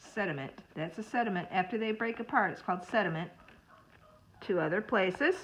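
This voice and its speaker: Speaking at a fairly quick pace, a woman with a medium pitch uses ordinary pitch variation and leaves long, frequent pauses. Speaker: school librarian or teacher. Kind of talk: reading aloud lesson for children. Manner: fast. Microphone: phone near.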